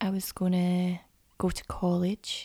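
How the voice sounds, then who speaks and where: The recording is very clean with a silent background. A woman speaks at medium pitch in a dark, mellow, somewhat breathy tone. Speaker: actress. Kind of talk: casual chat.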